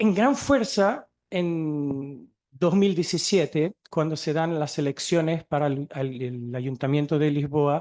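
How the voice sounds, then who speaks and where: At a very slow pace with hardly any pauses, a man speaks at a fairly high pitch with ordinary pitch variation. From Portugal. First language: Portuguese (speaking Spanish). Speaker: museum researcher and archaeologist. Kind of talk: conference talk.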